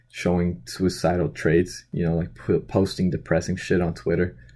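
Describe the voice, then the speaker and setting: A man's very deep, low pitch with a dark, mellow tone at a moderate pace. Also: very clean recording, silent background. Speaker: boxing commentary vlogger. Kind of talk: casual vlog commentary. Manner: monotone; hesitant, many fillers.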